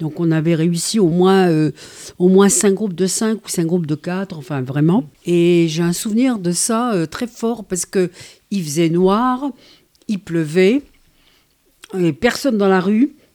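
Very slowly and with long, frequent pauses, a woman speaks at medium pitch with ordinary pitch variation and a dark, mellow tone, in a very clean recording with a silent background. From Algeria. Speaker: retired teacher, activist. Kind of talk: radio interview. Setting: on location outside the studio.

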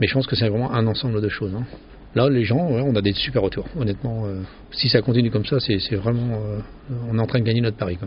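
Very fast speech from a man at a medium pitch, with fairly even intonation. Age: 50s. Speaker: pizzeria owner. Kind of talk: interview. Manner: halting.

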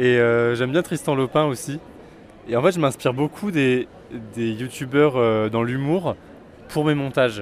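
There is noticeable background noise as a man speaks at medium pitch. His pace is moderate and his intonation fairly even. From France, Auvergne (Vichy). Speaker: theatre critic youtuber. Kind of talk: interview.

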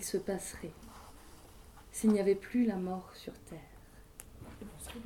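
A woman speaks with ordinary pitch variation. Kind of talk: storytelling. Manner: conversational oral-tale pace with hesitations and repeated words.

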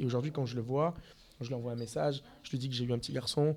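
This is a man at medium pitch. His pitch variation is ordinary. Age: 30s. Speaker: restaurant owner. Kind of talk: interview. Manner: hesitant.

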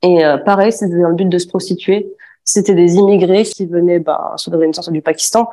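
A fairly low-pitched woman's voice with a dark, mellow tone, fairly even intonation and a moderate pace. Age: 20s. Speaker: former aesthetic clinic assistant. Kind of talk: testimony. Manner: hesitant, many fillers.

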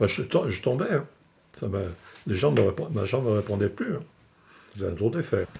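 Speaking fairly slowly with long, frequent pauses, a man uses a fairly low, somewhat breathy voice with very wide pitch swings. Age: 70s. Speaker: retired sheep and cattle farmer. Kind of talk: testimony. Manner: halting.

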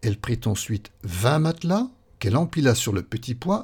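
A somewhat breathy, dark and mellow voice moves through very wide pitch swings in a very clean recording with a silent background. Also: man. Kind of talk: fairy tale narration, read aloud. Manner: storyteller's measured, gently expressive pace.

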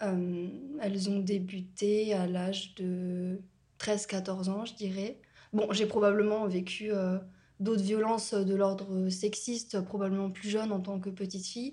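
Noticeable background noise and audible room echo accompany a woman speaking very slowly at a medium pitch with monotone, flat intonation. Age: 20s. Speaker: student sharing experience of violence. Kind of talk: personal testimony interview. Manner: hesitant, many fillers.

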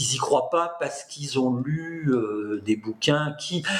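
A man speaks at a fairly slow pace with ordinary pitch variation against noticeable background noise. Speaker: political science professor. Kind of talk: interview. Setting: video call. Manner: talkative.

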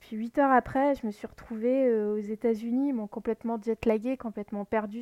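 The voice has a dark, mellow tone and fairly even intonation. The recording is very clean with a silent background, and the sound is dry and close with no echo. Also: woman. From France, Lorraine. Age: 30s. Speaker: podcast host. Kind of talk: personal storytelling monologue. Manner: halting, many fillers.

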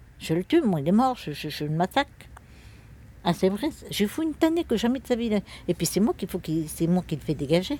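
A somewhat breathy woman at medium pitch with a dark, mellow tone, very wide pitch swings and long, frequent pauses. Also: fairly quick pace. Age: 60s. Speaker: traveller family elder. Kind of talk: casual chat. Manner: animated.

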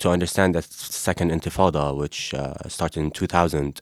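A man talks at a fairly slow pace with an Arabic accent. His voice is very deep and low. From Gaza, Palestine. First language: Arabic (speaking French). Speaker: Palestinian activist. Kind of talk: interview.

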